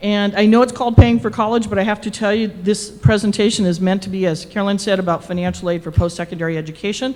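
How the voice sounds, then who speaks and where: A woman's very fast speech with big swings in loudness over noticeable background noise. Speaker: financial aid and college access expert. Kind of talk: public presentation. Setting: presentation room with audience and microphone.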